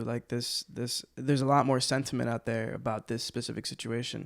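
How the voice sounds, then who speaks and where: The recording is very clean with a silent background. A man speaks at a moderate pace with fairly even intonation. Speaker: podcast host. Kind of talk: podcast interview question.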